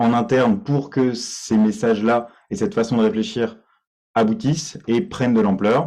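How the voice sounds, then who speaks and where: Against a quiet background, a man with a dark, mellow tone and medium pitch speaks at a moderate pace with ordinary pitch variation. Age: 20s. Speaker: party candidate, IT worker. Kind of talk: candidate self-presentation in online meeting. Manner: halting, many fillers and repetitions.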